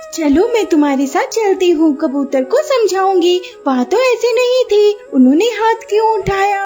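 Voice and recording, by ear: A woman does a cartoonish character voice in an extremely high pitch. Music plays clearly in the background. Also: moderate pace.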